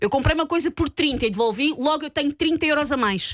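A woman's high, animated voice with lively intonation and a dry, close sound free of echo. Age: 40s. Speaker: radio host. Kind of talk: casual chat.

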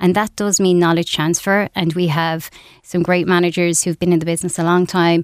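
A woman with an Irish accent speaks at a fairly quick pace, her fairly low voice in monotone, flat intonation. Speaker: business executive. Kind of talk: radio interview. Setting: studio.

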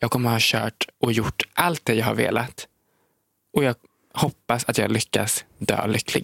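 A man's medium-pitched voice with vocal fry, very even loudness and fairly even intonation, at a fairly slow pace in a dry, close sound with no echo. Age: 20s. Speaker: social media creator and podcast co-host. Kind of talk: casual chat. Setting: studio.

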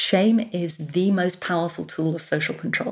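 Somewhat breathy and fairly low in pitch, a woman with a London accent speaks at a moderate pace. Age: 50s. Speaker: childless women's advocate. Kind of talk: interview.

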